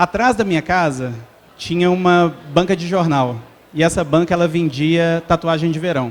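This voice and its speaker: The speaker has a Belo Horizonte accent and talks at a moderate pace. Pitch varies in an ordinary way. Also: man. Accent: Belo Horizonte (mineiro). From Minas Gerais, Brazil (Belo Horizonte). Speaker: entrepreneur, startup founder. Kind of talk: talk to live audience. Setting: stage with audience. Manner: conversational, informal.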